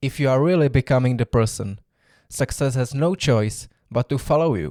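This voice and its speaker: A dark, mellow voice with a non-native accent, normal pitch movement, and a dry, close sound free of echo, on a very clean recording against total silence. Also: man. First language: not English. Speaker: self-development podcaster. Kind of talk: solo podcast monologue.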